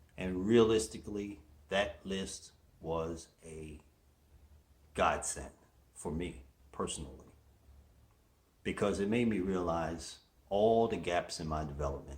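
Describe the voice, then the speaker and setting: At a fairly slow pace with long, frequent pauses, a man speaks in a very deep, low pitch with ordinary pitch variation and audible room echo. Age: 60s. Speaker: motivational show host. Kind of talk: motivational monologue.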